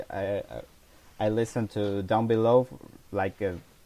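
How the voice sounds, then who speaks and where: A man with a dark, mellow tone talks at a fairly slow pace. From Argentina. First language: Spanish. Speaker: music blogger, interviewer. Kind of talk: interview. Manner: repeats words, stammers slightly.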